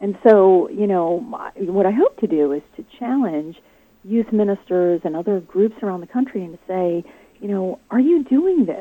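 This woman uses an unremarkable speaking voice at a medium pitch. She moves at a moderate pace with lively intonation. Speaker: seminary professor.

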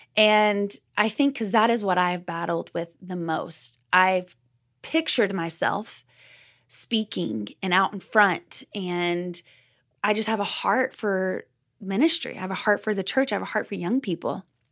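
A woman with a plain, everyday voice and an American accent, medium pitch, ordinary pitch variation and a fairly slow pace, on a very clean recording with a silent background. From Texas. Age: 30s. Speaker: pastor's daughter and mother. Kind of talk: interview.

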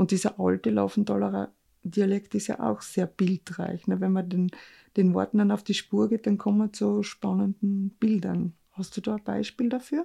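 The speaker is a woman talking at a moderate pace. The background is quiet, and the sound is dry and close with no echo. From Carinthia, Lavant valley. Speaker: podcast host and author. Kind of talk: casual interview; scripted show intro.

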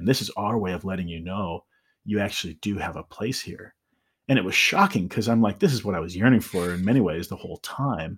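With an American accent and an unremarkable speaking voice, a man talks at a fairly quick pace and fairly low pitch, showing ordinary pitch variation and big swings in loudness. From US Midwest, Indiana. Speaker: wilderness school founder and nature mentor. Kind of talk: podcast interview.

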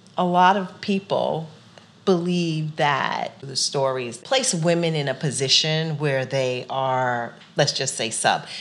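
A woman with a New York accent and a fairly low pitch talks at a very slow pace. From New York (Queens). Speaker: podcast host. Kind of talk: interview.

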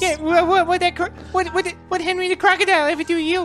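This put-on character voice is squeaky and extremely high in pitch, moving at a fairly quick pace. Its intonation is monotone and flat.

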